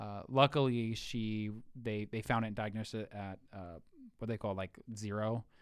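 An unremarkable speaking voice from a man with an American accent, fairly low in pitch, fairly even in intonation, at a moderate pace, on a very clean recording with a silent background. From Ohio. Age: 20s. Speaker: military veteran. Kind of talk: casual chat.

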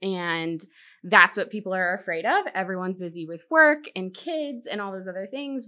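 A woman with an American accent and a plain, everyday voice talks at a fairly quick pace and medium pitch. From Virginia Beach, Virginia. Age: 30s. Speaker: home builder sales manager. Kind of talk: casual interview.

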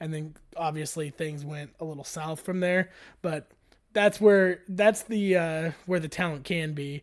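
Man's plain, everyday voice with an American accent, fairly high pitch, fairly even intonation, a fairly slow pace and big swings in loudness, in a very clean recording with a silent background. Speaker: sports podcast co-host. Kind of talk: casual chat.

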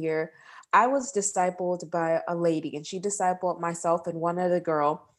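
In a normal speaking voice, a woman with an American accent and a fairly low pitch talks at a moderate pace in a very clean recording with a silent background. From Texas, Houston. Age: 20s. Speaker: nurse and podcast host. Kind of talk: interview.

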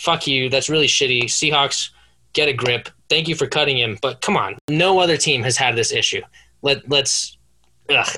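The speaker talks at a moderate pace in an enthusiastic, bright, sharp tone. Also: man. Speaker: sports podcast co-host. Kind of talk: casual comedic banter. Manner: enthusiastic, casual.

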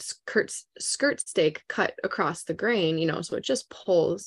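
At a fairly slow pace, a woman speaks with a fairly low pitch, a slightly mellow tone and ordinary pitch variation.

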